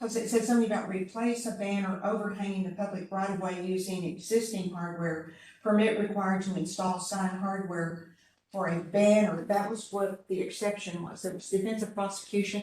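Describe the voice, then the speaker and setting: Audible room echo surrounds a woman speaking at a fairly quick pace. Her medium-pitched voice is somewhat breathy, with monotone, flat intonation. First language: not English. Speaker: city advisory committee member. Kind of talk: public meeting discussion.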